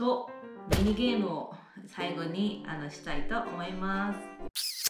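A woman speaks in a Kansai accent. Clear music plays in the background. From Kansai, Japan. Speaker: vlogger living abroad. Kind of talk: casual talk to camera. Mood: polite, slightly formal. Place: home room. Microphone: phone near.

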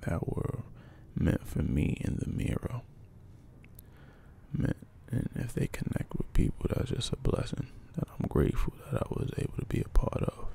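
Whispering in a relaxed, calm tone, the speaker moves at a moderate pace with long, frequent pauses. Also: man. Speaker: poet, ASMR creator. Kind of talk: ASMR poetry practice, casual talk to camera. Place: home room. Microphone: handheld.

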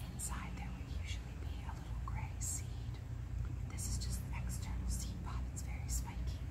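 Whispering and soft-spoken, a woman keeps her loudness very even over noticeable background noise. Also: moderate pace. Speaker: marine science educator. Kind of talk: ASMR educational narration. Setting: outdoors, with traffic and bird noise. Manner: whispered, soft-spoken.

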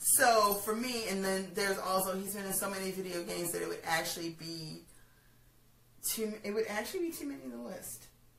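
Over noticeable background noise, a woman talks at a fairly quick pace and medium pitch with lively intonation. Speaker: pop culture vlogger. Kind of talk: casual chat. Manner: animated.

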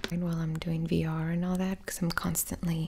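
The speaker is soft-spoken, with light background noise behind the voice. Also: woman. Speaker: streamer. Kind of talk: casual vlog chat. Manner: soft-spoken, hushed ASMR talk. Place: home room. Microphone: studio mic.

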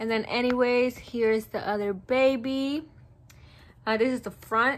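Light background noise sits under a woman speaking at a fairly slow pace. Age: 20s. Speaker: YouTuber vlogger. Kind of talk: casual vlog update. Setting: bedroom at home. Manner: casual, filler-heavy. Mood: excited, happy. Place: home room. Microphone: phone near.

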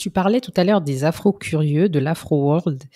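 In a dry, close recording with no echo, a woman speaks with a very deep, low pitch. She moves at a fairly slow pace with ordinary pitch variation. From French Caribbean, Haitian descent. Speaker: podcast host. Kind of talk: casual interview chat; scripted intro. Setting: remote call.

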